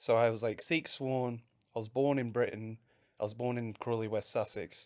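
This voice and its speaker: Speaking at a moderate pace, a man with an Australian accent keeps to a medium pitch and a monotone, flat intonation. The recording is very clean, with a silent background. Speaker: pro wrestler. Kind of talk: interview chat. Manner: halting.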